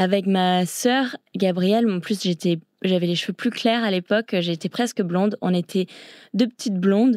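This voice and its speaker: Recorded with a dry, close sound and no echo, a woman speaks at a medium pitch with ordinary pitch variation and a fairly slow pace. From grew up abroad in China and Thailand (international British school). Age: 20s. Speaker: long-distance swimmer. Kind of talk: interview.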